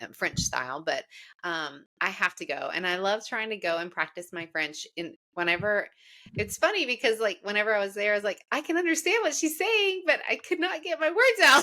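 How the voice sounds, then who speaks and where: In a very clean recording with a silent background, a woman with a Southern US accent talks at a fairly quick pace in an animated, bright, sharp tone with very wide pitch swings. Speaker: podcast host. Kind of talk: casual chat.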